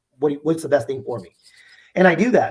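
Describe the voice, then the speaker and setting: A man speaks with a Spanish accent. His tone is animated and his intonation lively. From US, Mexican American family. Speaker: insurance agency owner. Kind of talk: interview. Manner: animated, repetitive restarts.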